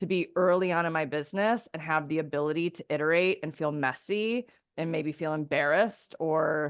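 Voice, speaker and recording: Against a quiet background, a woman with a very deep, low pitch speaks in an animated tone at a fairly quick pace, with hardly any pauses and ordinary pitch variation. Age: 30s. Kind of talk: testimonial interview.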